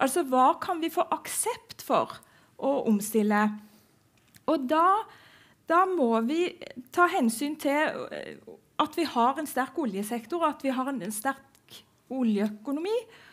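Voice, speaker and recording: Over a quiet background, the speech moves at a very slow pace with long, frequent pauses. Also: woman, high pitch for a woman, lively intonation. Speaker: innovation researcher. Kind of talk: panel discussion. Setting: stage with audience. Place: stage. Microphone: headset.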